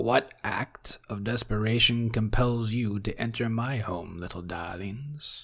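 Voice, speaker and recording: A man's croaky, put-on character voice at a medium pitch and a fairly slow pace. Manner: sinister, mocking.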